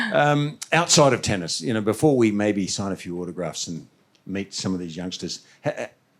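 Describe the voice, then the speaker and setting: Speaking at a moderate pace with an Australian accent, a man's voice moves in very wide pitch swings. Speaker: former tennis player and interviewer. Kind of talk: interview at live event.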